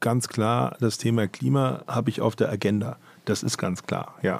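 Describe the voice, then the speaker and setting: This is an ordinary speaking voice. It moves at a fairly slow pace. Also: man. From Frankfurt area, Germany. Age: 50s. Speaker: automobile club executive. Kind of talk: interview and studio debate.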